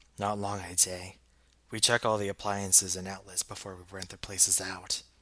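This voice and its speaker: A man puts on a gruff character voice, pitched very deep and low. He keeps a moderate pace and a monotone, flat intonation. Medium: read story. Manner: gruff, offhand.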